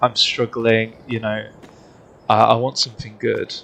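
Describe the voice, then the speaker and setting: Speaking with a British accent, a man uses a medium pitch at a moderate pace. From UK. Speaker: gaming streamer. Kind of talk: live gameplay commentary. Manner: casual, hesitant with fillers.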